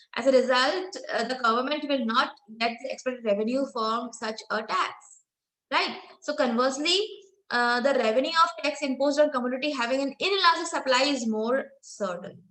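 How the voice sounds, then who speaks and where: A woman with an Indian accent speaks quickly enough, at a fairly quick pace, in a high pitch with a bright, sharp tone. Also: ordinary pitch variation. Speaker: professor. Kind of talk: lecture. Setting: online lecture with screen share.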